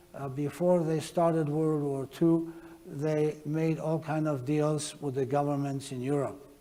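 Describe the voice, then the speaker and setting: Over noticeable background noise, a man talks fairly slowly in a fairly high pitch, his intonation monotone and flat. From Slovakia, Prešov. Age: 80s+. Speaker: Holocaust survivor speaker. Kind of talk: testimony. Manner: halting.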